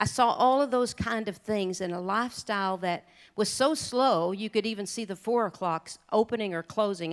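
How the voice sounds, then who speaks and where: Recorded very cleanly with a silent background, a woman talks at a medium pitch with ordinary pitch variation. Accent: Oklahoma. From southeastern Oklahoma. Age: 50s. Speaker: country singer and rancher speaking at charity luncheon. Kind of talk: speech to a luncheon audience, personal storytelling.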